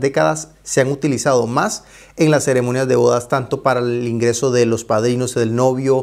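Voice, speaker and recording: Moderate pace from a man, quiet background behind. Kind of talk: presentation to camera. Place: home room.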